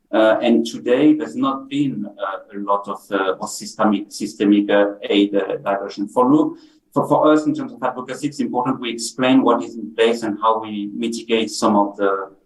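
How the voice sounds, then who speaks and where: A man's moderate-paced speech with a French accent and hardly any pauses. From France. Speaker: humanitarian policy expert. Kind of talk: panel discussion. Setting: video call on screen. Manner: halting, many repetitions.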